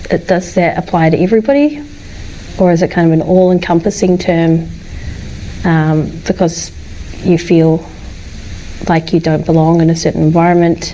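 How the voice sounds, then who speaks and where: A woman with a New Zealand accent and fairly low pitch, at a moderate pace with long, frequent pauses, fairly even intonation, very even loudness and noticeable background noise. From New Zealand, Wellington. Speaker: tech sales professional. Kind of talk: casual chat.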